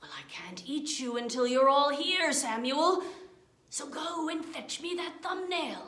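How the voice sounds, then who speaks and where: Putting on a character voice, a woman speaks fairly slowly at a high pitch. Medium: read story. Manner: slow, drawn-out, repeats name.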